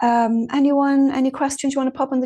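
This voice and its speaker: Speaking at a fairly quick pace, a woman with an Irish accent has a dark, mellow tone over a quiet background. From Ireland. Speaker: mediumship teacher. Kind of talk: online class talk. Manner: fast.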